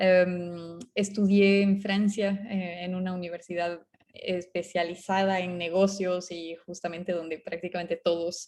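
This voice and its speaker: A woman talks at a very slow pace and medium pitch. Her intonation is monotone and flat. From Bolivia. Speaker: startup co-founder. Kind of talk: talk to an audience. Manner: halting, many fillers.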